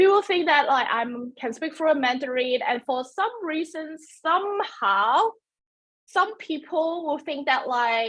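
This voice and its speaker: A woman talks at a fairly slow pace with a Cantonese accent. Her high voice moves in very wide pitch swings. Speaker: webinar presenter. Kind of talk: webinar presentation. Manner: halting.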